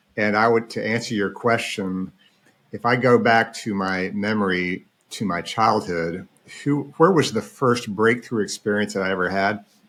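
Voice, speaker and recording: Here is a man with an American accent and a normal speaking voice, pitched fairly low. He talks at a moderate pace with ordinary pitch variation. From Oklahoma, US. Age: 60s. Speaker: financial planner. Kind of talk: casual interview chat.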